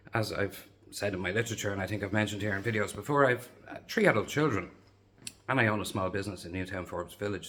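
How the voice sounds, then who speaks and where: In a Dublin accent, a man talks at a very fast pace and a fairly low pitch with lively intonation. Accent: Dublin Irish. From Dublin, Ireland (Lucan). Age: 50s. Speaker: local election candidate. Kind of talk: campaign video monologue.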